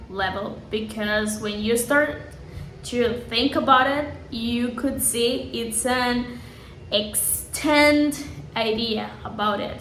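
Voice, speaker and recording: A woman with a Spanish accent speaks very slowly in a high voice, with audible room echo and noticeable background noise. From Colombia, Santa Marta. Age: 20s. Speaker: English teacher. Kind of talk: self-introduction video for a course.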